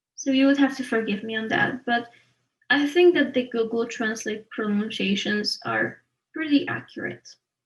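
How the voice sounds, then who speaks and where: In a Polish accent, a woman talks with a high pitch. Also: ordinary pitch variation, moderate pace. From Poland. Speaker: art student. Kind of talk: tutorial. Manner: halting.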